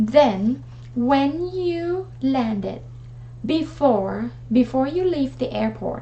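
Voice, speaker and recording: Talking very slowly with a Thai accent, a woman is heard over noticeable background noise. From Thailand. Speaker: travel vlogger. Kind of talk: tutorial. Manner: hesitant, with many fillers.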